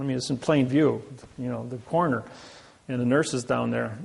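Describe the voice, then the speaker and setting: A man with a Midwestern American accent talks at medium pitch with fairly even intonation. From US Midwest, Indiana. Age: 60s. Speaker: seminar speaker. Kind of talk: seminar lecture.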